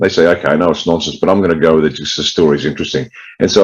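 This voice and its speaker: An Australian-accented man speaks in a very deep, low voice. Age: 60s. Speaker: political party leader, ex-military. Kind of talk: interview.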